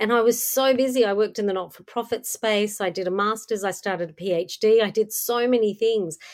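Fairly quick speech with an Australian accent, hardly any pauses, fairly even intonation and big swings in loudness. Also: woman, fairly high pitch for a woman. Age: 50s. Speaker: podcast host. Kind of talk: interview.

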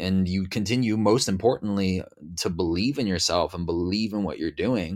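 A man uses an ordinary speaking voice at a fairly low pitch, with ordinary pitch variation and a moderate pace. The recording is very clean, with a silent background. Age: 20s. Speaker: musician and former crypto influencer. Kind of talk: interview. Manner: casual, filler-heavy.

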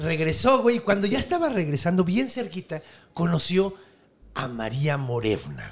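A man speaks at a high pitch with very wide pitch swings. His tone is animated. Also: moderate pace. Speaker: podcast host and storyteller. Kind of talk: storytelling in casual chat.

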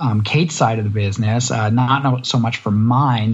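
With a Canadian accent, a man speaks at a moderate pace in a medium-pitched, somewhat breathy voice with fairly even intonation. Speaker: podcast co-host. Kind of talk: casual interview chat.

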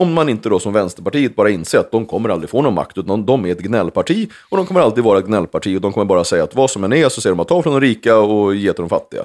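Very fast speech comes from a man at medium pitch. The recording is very clean, with a silent background. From Sweden, Uppsala area. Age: 40s. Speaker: former member of parliament. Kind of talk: casual chat.

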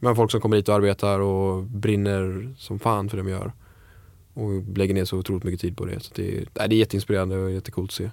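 Over a silent background in a very clean recording, a man talks at a fairly quick pace in a fairly low pitch with monotone, flat intonation. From Sweden, Falkenberg (Halland). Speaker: chef. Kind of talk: casual interview.

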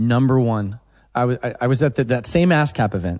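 In an American accent, a man speaks at medium pitch with ordinary pitch variation. The background stays quiet. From Oklahoma. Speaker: songwriter and producer. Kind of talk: casual interview chat.

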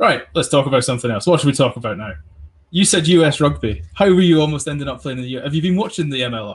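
A man talks at a very fast pace with a fairly high pitch and lively intonation. His voice is somewhat breathy, and the background is quiet. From England. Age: 20s. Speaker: podcast host. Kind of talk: casual chat.

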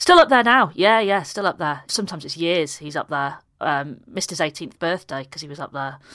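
Using a Yorkshire accent, a woman talks at a fairly quick pace with hardly any pauses, fairly low pitch, lively intonation and big swings in loudness, all on a very clean recording with a silent background. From Yorkshire, Harrogate area. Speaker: comedian. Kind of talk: casual chat, comic interview.

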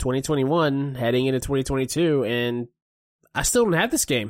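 Here a man talks at a fairly quick pace. His pitch is medium and his intonation fairly even. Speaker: co-host gaming buddy. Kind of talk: casual chat. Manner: hesitant, filler words.

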